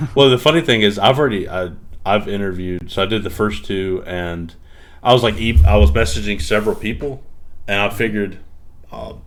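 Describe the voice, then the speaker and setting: A man with a Southern US accent talks fairly quickly but with long, frequent pauses, and there is audible room echo. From US South. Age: 30s. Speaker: podcast host. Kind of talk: casual interview chat.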